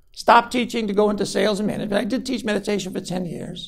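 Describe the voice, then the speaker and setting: A man talks at a very fast pace in a high pitch, his intonation fairly even, with audible room echo around him. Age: 60s. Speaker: college professor. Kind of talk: lecture.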